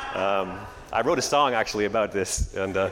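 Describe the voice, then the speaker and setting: Someone with a Canadian accent talks at a very fast pace with ordinary pitch variation over noticeable background noise. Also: man. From Canada. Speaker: pastor. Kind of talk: sermon. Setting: church.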